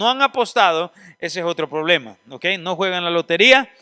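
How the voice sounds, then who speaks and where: Raised and projected, a man's high-pitched voice moves at a fairly quick pace with a bright, sharp tone, recorded very cleanly with a silent background and a dry, close sound with no echo. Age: 40s. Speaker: seminary teacher. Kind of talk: lecture.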